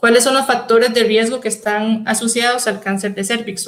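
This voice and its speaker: Her intonation stays monotone and flat. The woman's pitch is fairly high. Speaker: microbiologist. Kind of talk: lecture. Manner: fast.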